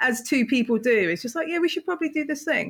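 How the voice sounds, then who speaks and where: A woman with a British accent speaks at a high pitch. Her pitch swings very widely. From England. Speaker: co-host. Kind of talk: casual chat.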